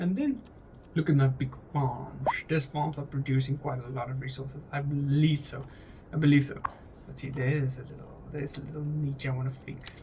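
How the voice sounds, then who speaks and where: A man with a non-native accent talks at a moderate pace in a fairly high pitch. His intonation is flat and monotone, while his loudness swings widely. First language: not English. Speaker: gaming YouTuber. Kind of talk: casual gameplay commentary. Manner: halting, many repetitions and restarts.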